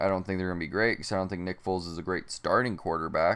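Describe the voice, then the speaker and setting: A man with an American accent talks in a very deep, low pitch against a quiet background. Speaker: sports podcaster. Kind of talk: solo sports commentary podcast.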